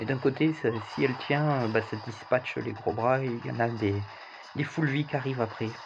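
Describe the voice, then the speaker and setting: Somewhat breathy, a man with a medium pitch speaks at a moderate pace with ordinary pitch variation. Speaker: gaming YouTuber. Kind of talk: gameplay commentary. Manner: casual, conversational.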